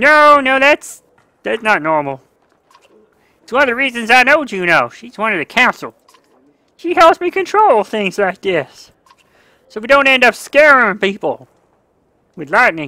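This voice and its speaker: Doing a put-on character voice, a woman with a high pitch speaks at a moderate pace with very wide pitch swings, big swings in loudness and long, frequent pauses, in a dry, close sound with no echo. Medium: game stream. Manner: hesitant, searching for words.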